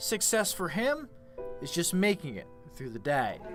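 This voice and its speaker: A man speaks in a high pitch at a fairly slow pace. Music plays in the background. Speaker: sports anchor and reporter. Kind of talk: TV sports feature reporter narration.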